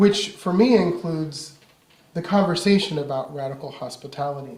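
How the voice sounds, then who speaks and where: This man talks at a moderate pace with a high pitch. His pitch varies in an ordinary way. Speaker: minister. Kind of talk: sermon.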